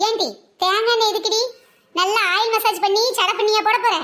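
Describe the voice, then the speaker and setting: A woman's squeaky, cartoonish character voice at an extremely high pitch, monotone and flat, at a moderate pace. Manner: blustering, boastful.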